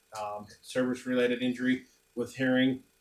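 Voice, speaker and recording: Moderate speed and mid-range pitch from a male speaker. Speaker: bladesmith competitor. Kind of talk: casual chat. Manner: loud.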